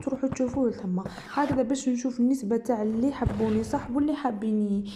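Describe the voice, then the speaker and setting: Speaking with an Algerian accent, a woman talks at a fairly quick pace in a high pitch with fairly even intonation. Noticeable background noise runs underneath. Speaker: sewing and embroidery youtuber. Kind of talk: casual chat.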